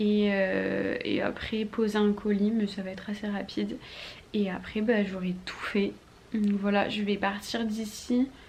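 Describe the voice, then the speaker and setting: A woman talks very slowly at a medium pitch in a monotone, flat delivery. Noticeable background noise sits under her voice. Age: 20s. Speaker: vlogger. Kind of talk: vlog.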